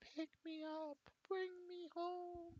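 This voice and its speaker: This is a put-on character voice, squeaky and at an extremely high pitch. The intonation stays monotone and flat. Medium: actual play.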